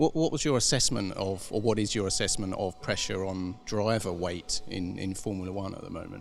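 Speaking at a fairly quick pace with hardly any pauses, a man with an unremarkable speaking voice and fairly low pitch shows ordinary pitch variation. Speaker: motorsport journalist. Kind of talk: interview.

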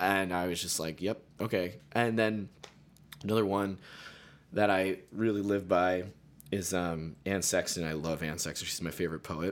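With an American accent, a man speaks in a very deep, low pitch. His pace is moderate and his intonation fairly even. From Pennsylvania, Carbon County. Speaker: musician and music therapist. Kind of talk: casual interview chat. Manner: hesitant, filler-heavy.

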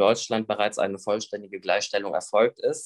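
With a plain, everyday voice, a man speaks at a medium pitch and a moderate pace, and the sound is dry and close with no echo. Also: quiet background. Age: 20s. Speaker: YouTuber with Tourette syndrome. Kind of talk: interview.

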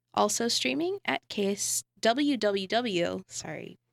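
A woman's fairly high voice with lively intonation, in a very clean recording with a silent background and a dry, close sound with no echo. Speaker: community radio host. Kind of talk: casual chat. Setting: radio studio.

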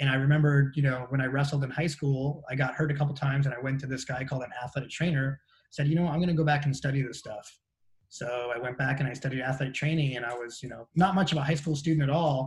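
Somewhat breathy and fairly high-pitched, a man with an American accent talks at a very fast pace with fairly even intonation. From Southern California beach area. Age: 50s. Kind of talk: casual interview chat.

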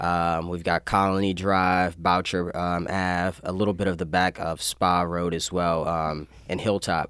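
A man talks in a very deep, low voice with monotone, flat intonation. The recording is very clean, with a silent background. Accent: American. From Maryland (Annapolis area). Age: 20s. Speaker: city council member. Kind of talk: radio interview. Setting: radio studio. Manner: halting, many fillers.

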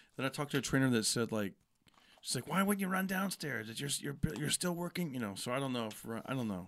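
A man's very fast, medium-pitched voice with an American accent and very wide pitch swings, on a very clean recording with a silent background. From California, Fresno. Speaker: comedian. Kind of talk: casual chat. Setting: in-person podcast studio at a comedy club.

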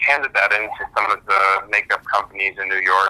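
A man speaks with an American accent. His pace is fairly slow. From Germany, partly New Jersey. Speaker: film director. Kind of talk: interview. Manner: hesitant, with fillers.

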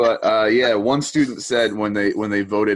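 A man with a normal speaking voice and a fairly low pitch. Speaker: podcast host. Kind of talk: casual interview.

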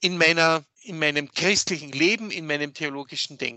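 A man speaks with a fairly high pitch and ordinary pitch variation. His pace is fairly slow. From Upper Austria, Enns valley. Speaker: theologian. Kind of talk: interview discussion. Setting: video call from office.

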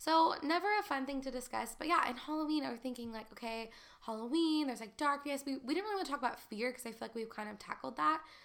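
Over noticeable background noise, a woman with a high pitch and an animated tone talks at a very fast pace with lively intonation. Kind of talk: casual chat. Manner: fast talker.

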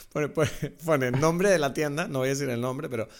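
A man with a Canarian accent speaks very fast at a fairly high pitch, with ordinary pitch variation. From France, raised in the Canary Islands. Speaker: podcast co-host, film commentator. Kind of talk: casual chat.

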